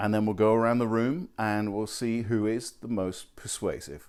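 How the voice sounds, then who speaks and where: With a British accent, the speaker keeps a moderate pace. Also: man, very clean recording, silent background. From England. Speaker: college professor. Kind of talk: video message to students.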